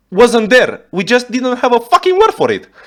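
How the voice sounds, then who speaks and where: A man's pitch swings very widely as he keeps to a moderate pace. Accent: Romanian. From Romania. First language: Romanian. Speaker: YouTube reactor. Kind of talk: reaction video commentary. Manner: animated.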